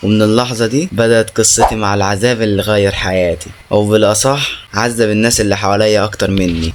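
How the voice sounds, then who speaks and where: A man with an Egyptian accent at a fairly low pitch and moderate pace, fairly even intonation, hardly any pauses, and noticeable background noise. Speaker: horror story narrator. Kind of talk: horror story narration.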